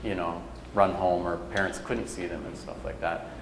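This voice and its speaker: Speaking at a moderate pace in an American accent, a man is heard with audible room echo and noticeable background noise. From Minnesota, Leech Lake. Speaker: lecturer. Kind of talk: lecture Q&A. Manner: casual, many fillers.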